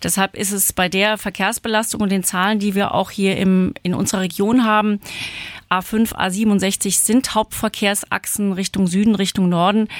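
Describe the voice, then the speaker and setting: A woman speaks in a monotone with flat intonation. Her voice sounds dry and close, with no echo. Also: medium pitch for a woman, moderate pace. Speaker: state parliament member and candidate. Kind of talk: panel interview.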